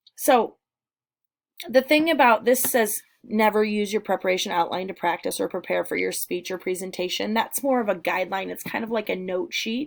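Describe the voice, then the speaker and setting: Vocal fry is heard in this voice. Its intonation moves in a lively way. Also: woman, medium pitch for a woman. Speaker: teacher. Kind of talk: lecture. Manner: fast; casual, with fillers.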